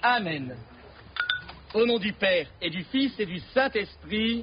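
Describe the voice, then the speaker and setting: Lively intonation in a northern French accent, over noticeable background noise. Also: man. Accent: Ch'ti (northern French). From Nord, northern France. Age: 40s. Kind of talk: blessing ritual. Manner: outspoken, frank.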